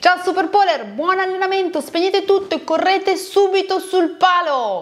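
Over noticeable background noise, a woman speaks in an animated tone at a fairly slow pace. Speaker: pole dance instructor. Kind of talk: video talk to followers.

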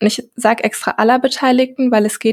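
A woman's voice comes through somewhat breathy. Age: 20s. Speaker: health care researcher and podcaster. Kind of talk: podcast interview.

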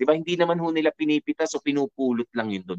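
Lively intonation from a man, with a dry, close sound and no echo. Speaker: radio DJ reading listener letters. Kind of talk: radio advice commentary. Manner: hesitant with frequent fillers.

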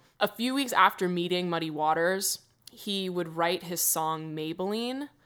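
A woman's bright, sharp, animated voice at a fairly low pitch. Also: very clean recording, silent background. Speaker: podcast co-host. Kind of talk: casual chat.

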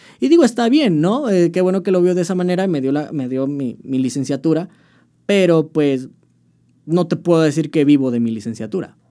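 A man talks at a fairly quick pace with lively intonation. His voice sits fairly high in pitch, with a dark, mellow tone. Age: 20s. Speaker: band vocalist. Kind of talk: casual chat.

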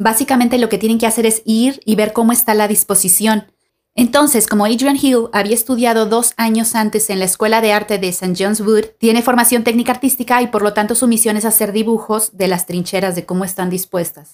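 A woman talks at a fairly quick pace with hardly any pauses, in a normal speaking voice. Her pitch is fairly high, and her intonation stays fairly even. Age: 30s. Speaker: podcast host, art student and artist. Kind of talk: scripted narration. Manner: formal.

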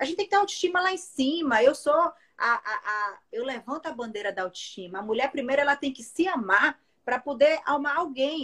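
At a fairly quick pace, a woman speaks with a high pitch and very wide pitch swings. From Brasília, Brazil. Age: 40s. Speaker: TV presenter and radio host. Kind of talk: casual chat. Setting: Instagram live.

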